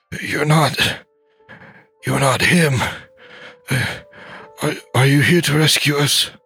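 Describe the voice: A man's raspy put-on character voice, fairly high-pitched and fairly slow, with long, frequent pauses and music in the background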